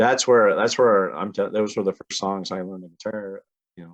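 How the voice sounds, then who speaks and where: A man with a fairly low pitch and a Cape Breton accent, in a dry, close sound with no echo. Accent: Cape Breton Canadian. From Cape Breton, Nova Scotia. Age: 40s. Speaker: musician. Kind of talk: casual interview chat.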